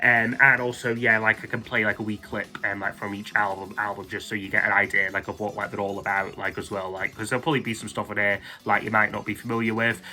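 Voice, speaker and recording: Over music in the background, a man with a fairly low pitch talks at a fairly quick pace in a monotone, flat intonation. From Scotland. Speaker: music YouTuber. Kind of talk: casual monologue countdown. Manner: hesitant, many fillers.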